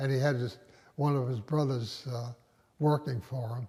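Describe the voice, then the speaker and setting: Fairly slow, somewhat breathy speech from a man with an American accent, fairly high in pitch and dark and mellow in tone. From Westerly, Rhode Island, US. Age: 90s. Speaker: retired doctor, oral history interviewee. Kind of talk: oral history interview. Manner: halting, many fillers.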